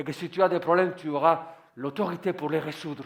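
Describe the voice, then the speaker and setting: A man speaks with a non-native accent and a high pitch. His intonation stays fairly even. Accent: foreign accent in French. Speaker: pastor. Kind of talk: sermon.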